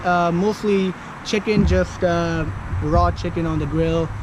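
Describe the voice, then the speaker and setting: Noticeable background noise and audible room echo around a high-pitched male voice. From India. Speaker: interviewee, fitness enthusiast. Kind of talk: casual street interview. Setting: outdoors in a park.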